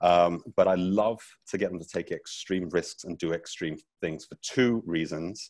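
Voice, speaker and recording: In a British accent, a man speaks at a fairly slow pace with a very deep, low pitch. His loudness swings widely. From Britain. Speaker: teacher. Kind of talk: keynote talk. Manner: energetic, playful.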